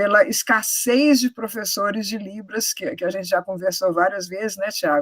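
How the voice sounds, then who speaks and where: A woman's medium-pitched voice at a moderate pace with ordinary pitch variation and hardly any pauses, in a dry, close sound with no echo. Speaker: university professor. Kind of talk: moderated Q&A. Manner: hesitant, many fillers.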